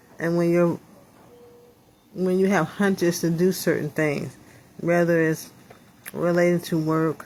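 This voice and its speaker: A woman's monotone, flat delivery. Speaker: vlogger recovering from stroke. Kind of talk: video diary. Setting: hospital room. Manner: halting.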